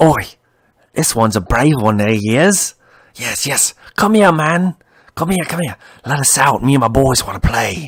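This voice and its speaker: A man's put-on character voice, fairly high in pitch, at a moderate pace with long, frequent pauses. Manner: taunting, playful.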